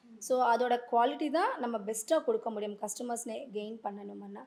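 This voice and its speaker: Her pitch is high for a woman, and this woman's voice rises and falls with ordinary variation. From Andhra Pradesh. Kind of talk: interview answer.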